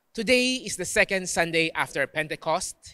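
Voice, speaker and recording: Against a quiet background, the tone comes across bright and sharp, in a dry sound with no echo. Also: man. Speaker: pastor. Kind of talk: sermon. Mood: warm, welcoming. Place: church.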